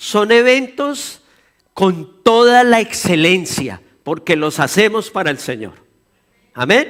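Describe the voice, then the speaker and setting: A man's very slow speech at a high pitch, with very wide pitch swings. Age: 60s. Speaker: pastor. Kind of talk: sermon.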